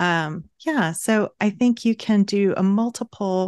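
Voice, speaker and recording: Against a quiet background, a woman speaks in an unremarkable speaking voice with medium pitch and ordinary pitch variation, the sound dry and close with no echo. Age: 50s. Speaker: writing coach and author. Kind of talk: interview.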